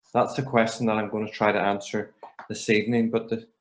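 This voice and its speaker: A man with a Northern Irish accent speaks at a medium pitch. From Northern Ireland. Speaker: emergency doctor and medical educator. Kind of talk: lecture. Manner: hesitant, many fillers.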